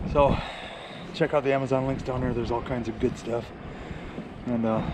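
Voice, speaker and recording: Monotone, flat intonation from a man at a medium pitch and fairly quick pace, against noticeable background noise. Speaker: kayak fishing vlogger. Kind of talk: casual vlog talk to camera. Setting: at home at night. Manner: quiet, hushed.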